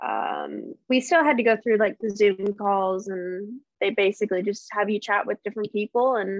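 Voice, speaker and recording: A woman with an ordinary speaking voice, medium pitch and moderate pace. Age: 20s. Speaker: yacht crew member, reality TV cast member. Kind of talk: casual interview chat.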